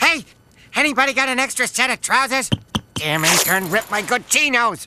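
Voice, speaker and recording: A put-on character voice, fairly high in pitch, at a fairly quick pace. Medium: video game. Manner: loud, blustering.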